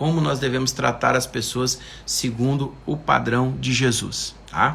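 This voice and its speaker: Amid audible room echo, a man's medium-pitched voice carries vocal fry. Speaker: preacher. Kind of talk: livestream sermon. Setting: live stream.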